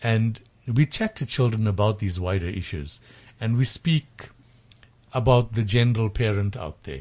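Somewhat breathy, a man speaks at a moderate pace with a fairly low pitch and ordinary pitch variation. He leaves long, frequent pauses. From South Africa, Durban (KZN). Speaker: tutoring company founder. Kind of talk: radio interview. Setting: studio. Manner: hesitant, many fillers.

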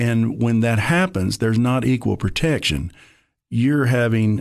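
A man speaks with a Tennessee accent and ordinary pitch variation against a quiet background. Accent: Southern US (Tennessee). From East Tennessee (Maryville). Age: 60s. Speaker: former county party chairman, football coach. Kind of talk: radio interview.

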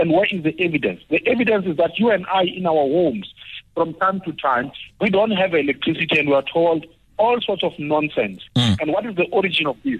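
Lively intonation carries speech delivered at a fairly fast clip. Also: man, high pitch for a man. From South Africa. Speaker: political analyst. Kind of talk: radio interview.

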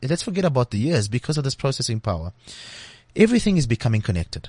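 A man speaks very fast at a medium pitch, his voice somewhat breathy. His pitch swings very widely, and the background is quiet. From South Africa. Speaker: tech company marketing director. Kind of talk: interview. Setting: studio.

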